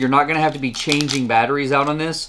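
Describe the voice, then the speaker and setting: A man speaks over light background noise. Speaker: tech reviewer. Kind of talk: product review talk. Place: home room.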